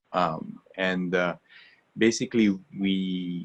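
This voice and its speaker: A man with an Italian accent. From Italy. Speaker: water filtration company founder. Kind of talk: webinar interview. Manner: halting, many fillers.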